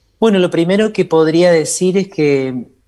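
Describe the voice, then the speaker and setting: Dark and mellow in tone, a man's high-pitched voice rises and falls in an ordinary way. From Argentina, Entre Ríos. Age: 40s. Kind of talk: interview.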